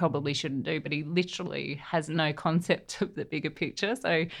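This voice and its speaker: A woman with an Australian accent, her pitch very deep and low, at a moderate pace against a quiet background. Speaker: navy veteran. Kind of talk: interview.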